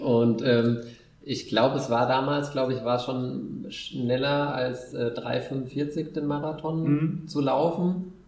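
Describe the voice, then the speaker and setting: A man's medium-pitched voice at a very slow pace in fairly even intonation, with audible room echo and noticeable background noise. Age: 30s. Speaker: amateur ultrarunner. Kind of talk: casual chat. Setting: living room at home. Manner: hesitant with many fillers.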